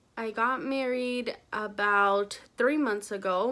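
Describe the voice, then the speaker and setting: A woman speaks with a bright, sharp tone. Her pitch variation is ordinary. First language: Spanish. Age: 20s. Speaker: vlogger. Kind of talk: casual vlog talk.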